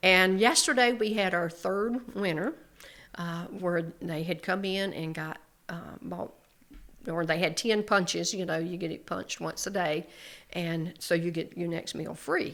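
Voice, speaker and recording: A woman's fairly low voice at a fairly slow pace, with ordinary pitch variation, on a very clean recording with a silent background. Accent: North Carolina. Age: 70s. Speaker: small business owner. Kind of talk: casual chat.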